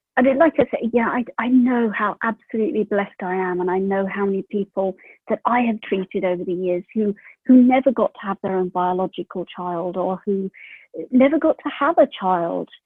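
She speaks at a fairly quick pace. The woman has a British accent. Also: medium pitch for a woman, ordinary pitch variation. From UK. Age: 40s. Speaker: mother sharing birth story. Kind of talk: interview. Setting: remote call.

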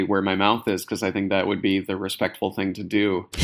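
This man has an unremarkable speaking voice, fairly low in pitch and delivered at a fairly quick pace. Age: 30s. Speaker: author and comedy writer. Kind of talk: casual interview.

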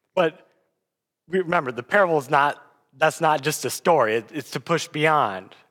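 On a very clean recording with a silent background, a man speaks with a bright, sharp tone at a fairly high pitch with ordinary variation. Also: moderate pace. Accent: American. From US Midwest (South Dakota). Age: 20s. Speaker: guest preacher. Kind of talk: sermon.

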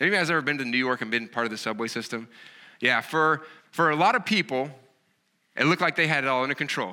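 In a Southern US accent, a man with a fairly high pitch and a bright, sharp tone talks at a very fast pace with lively intonation and long, frequent pauses, in a very clean recording with a silent background. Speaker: pastor. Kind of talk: sermon. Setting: church.

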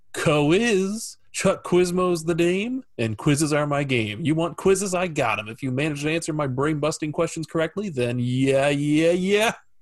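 A put-on character voice with a sing-song lilt. It moves at a moderate pace with hardly any pauses. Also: man, fairly high pitch for a man. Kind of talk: playful catchphrase delivery. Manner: excited, sing-song.

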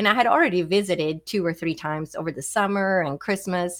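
A woman's fairly low voice, fairly even in intonation, on a very clean recording with a silent background. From Sweden. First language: Swedish. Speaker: physician and psychic. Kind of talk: interview.

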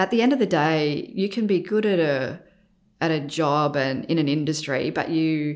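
A woman with an Australian accent and a very deep, low-pitched voice. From Australia, Adelaide. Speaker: architect and business founder. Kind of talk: interview.

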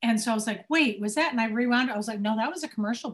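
A woman's fairly high, somewhat breathy voice with an American accent and lively intonation. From Cincinnati, Ohio. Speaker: musical theater performer and singer. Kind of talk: casual chat.

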